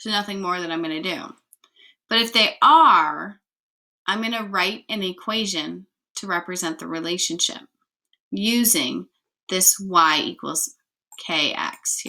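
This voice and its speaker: With a bright, sharp tone, a woman talks at a fairly slow pace, leaving long, frequent pauses and making big swings in loudness. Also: medium pitch for a woman, lively intonation. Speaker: math teacher. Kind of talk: lecture.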